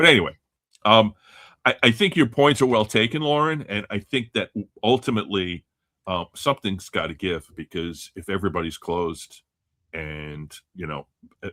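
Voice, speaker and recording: At a moderate pace, the voice moves through very wide pitch swings and big swings in loudness, with long, frequent pauses. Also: man, fairly low pitch for a man. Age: 60s. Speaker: sports card collector and podcast panelist. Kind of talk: casual panel chat on live call-in show.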